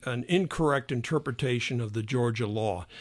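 A man with an American accent, medium in pitch with ordinary variation, speaking at a fairly slow pace against a quiet background. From US Midwest, Illinois. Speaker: economics professor, gambling expert. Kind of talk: interview. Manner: halting, many fillers.

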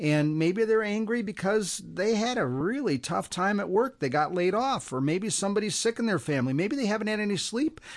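A man with a high voice speaks fairly quickly and with lively intonation against a quiet background. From US Midwest. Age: 60s. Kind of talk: radio interview.

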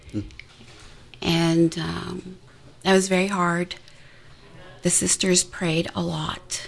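Against noticeable background noise, a woman talks very slowly, leaving long, frequent pauses. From Montreal, Canada. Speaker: nurse and PhD researcher, cancer survivor. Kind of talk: radio testimony. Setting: radio studio.

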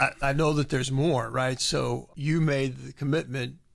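A man's voice at a medium pitch. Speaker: radio host. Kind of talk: prayer. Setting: studio.

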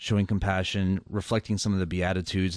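A fairly low-pitched man with an American accent, at a moderate pace over a quiet background. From Atlanta, Georgia, US South. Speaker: radio show host, business founder. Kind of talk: faith radio talk show conversation. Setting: radio studio.

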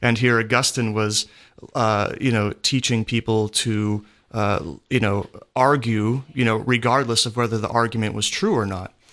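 A man speaks in a plain, everyday voice at a moderate pace and medium pitch. His intonation is fairly even, and the background is quiet. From Pennsylvania. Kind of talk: radio interview.

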